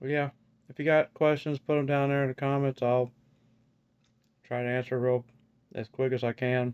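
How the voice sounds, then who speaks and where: The voice is monotone, with flat intonation and long, frequent pauses at a moderate pace. The sound is dry and close with no echo. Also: man, medium pitch for a man. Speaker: vlogger sharing dental implant experience. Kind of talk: casual video vlog. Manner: halting with many fillers; slightly odd articulation.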